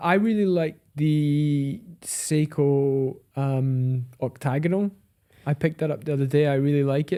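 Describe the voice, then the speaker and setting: Fairly slow delivery in a Scottish accent, dark and mellow in tone, with ordinary pitch variation. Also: man, fairly high pitch for a man. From Scotland, Edinburgh. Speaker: watch dealer, podcast co-host. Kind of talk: casual chat.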